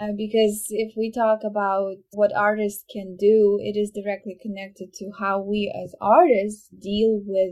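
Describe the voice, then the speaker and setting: A woman speaks with a Ukrainian accent at a medium pitch. Her delivery is fairly slow, with monotone, flat intonation. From Ukraine. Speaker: violinist. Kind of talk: interview. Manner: hesitant, many fillers.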